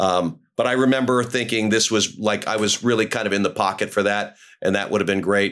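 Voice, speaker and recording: A man's fairly low voice with an American accent at a fairly quick pace, with hardly any pauses, fairly even intonation and very even loudness, on a very clean recording with a silent background. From New York City. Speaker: character actor. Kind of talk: casual chat. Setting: podcast interview. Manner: halting, many fillers and repeats.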